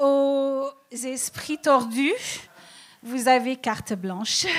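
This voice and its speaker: Speaking very slowly, a woman uses a high-pitched voice. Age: old. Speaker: comedian. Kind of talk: stand-up. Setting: stage with audience.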